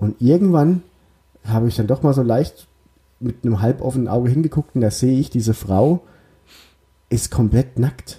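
A man at a moderate pace, medium-pitched and somewhat breathy, with a dark, mellow tone, very even loudness, ordinary pitch variation, and long, frequent pauses. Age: 30s. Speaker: football podcast host and journalist. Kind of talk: casual chat.

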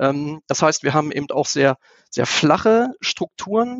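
A man's fairly high-pitched voice with ordinary pitch variation, at a moderate pace. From Lower Saxony, Germany (Einbeck). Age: 40s. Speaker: business executive. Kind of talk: interview. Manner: hesitant, many filler sounds.

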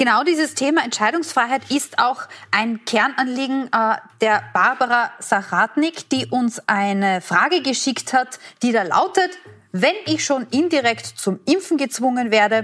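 Music plays in the background as a woman speaks at a fairly slow pace. Her pitch swings very widely. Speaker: TV host, moderator. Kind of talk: moderating a TV forum.

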